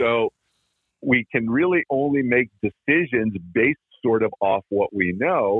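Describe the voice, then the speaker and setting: A man's unremarkable speaking voice, medium in pitch, with very even loudness and a fairly slow pace. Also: ordinary pitch variation. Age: 60s. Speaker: dog trainer. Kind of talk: interview.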